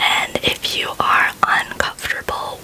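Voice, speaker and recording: Noticeable background noise accompanies a woman as she whispers. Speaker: ASMR artist. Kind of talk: ASMR rambling about spirituality. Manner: soft-spoken, whispered.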